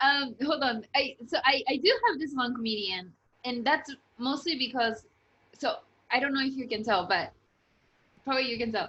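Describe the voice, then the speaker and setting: At a moderate pace, a woman's high-pitched, raised, projected voice has a bright, sharp tone, ordinary pitch variation and long, frequent pauses. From Japan. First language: Japanese. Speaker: interviewer, channel host. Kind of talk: casual interview chat.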